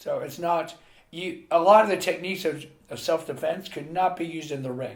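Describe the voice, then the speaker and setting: Talking at a fairly quick pace, a man with a Mid-Atlantic accent uses a fairly high pitch and ordinary pitch variation. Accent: American, Mid-Atlantic. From US, Pennsylvania (Carlisle). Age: 60s. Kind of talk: interview.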